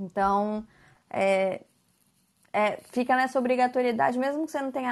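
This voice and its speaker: The woman speaks at a moderate pace with fairly even intonation. Behind her, the background is quiet. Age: 20s. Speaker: lawyer. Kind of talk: explanatory talk on a podcast.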